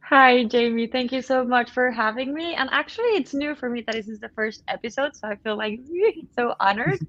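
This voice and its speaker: With a Spanish accent, a woman speaks at a fairly quick pace in a high pitch with ordinary pitch variation. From Colombia. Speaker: web3 education lead. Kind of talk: webcast interview.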